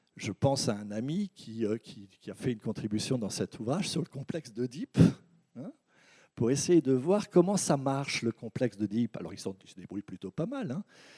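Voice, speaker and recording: A man with a medium-pitched, dark, mellow voice speaks at a moderate pace with very wide pitch swings and big swings in loudness, on a very clean, dry, close recording with a silent background and no echo. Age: 60s. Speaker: anthropologist and researcher. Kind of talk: conference talk. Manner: halting, with repetitions.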